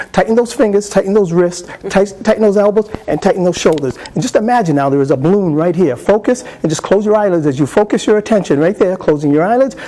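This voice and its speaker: A man with a high-pitched voice speaks at a very fast pace and very even loudness. Noticeable background noise runs under him. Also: lively intonation. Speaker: hypnotist presenter. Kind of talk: live hypnosis induction demonstration; workshop lecture explaining technique. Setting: convention stage with live audience.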